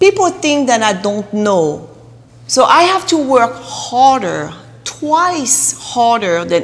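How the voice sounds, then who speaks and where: A woman speaks at a very slow pace, her pitch swinging very widely. Noticeable noise sits in the background. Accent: non-native. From Russia. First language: Russian. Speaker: real estate agent. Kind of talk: interview.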